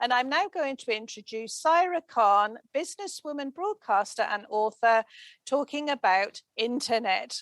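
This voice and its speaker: On a very clean recording with a silent background and a dry, close sound with no echo, a woman speaks at a high pitch with lively intonation and a moderate pace. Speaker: radio host. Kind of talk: radio interview. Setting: radio studio. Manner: bubbly, energetic.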